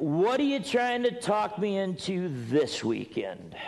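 A man puts on a character voice, high for a man, with vocal fry, very wide pitch swings, a slow pace and faint background noise. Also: slightly mellow tone.

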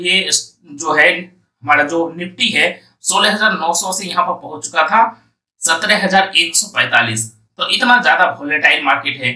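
A man with a high pitch and a bright, sharp tone amid audible room echo

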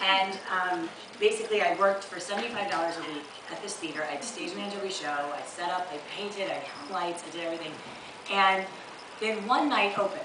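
A woman talks with ordinary pitch variation, with audible room echo and noticeable background noise. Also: medium pitch for a woman, moderate pace. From Chicago, US Midwest. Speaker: stand-up comedian, opening act. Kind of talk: stand-up comedy set, storytelling with acted-out customer dialogue and crowd banter. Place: stage. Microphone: camera far.

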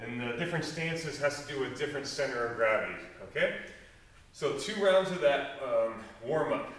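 A man speaks at a moderate pace, his pitch varying in an ordinary way, with audible echo from the room. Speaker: fitness coach. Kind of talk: workout instruction tutorial. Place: gym. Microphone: camera far.

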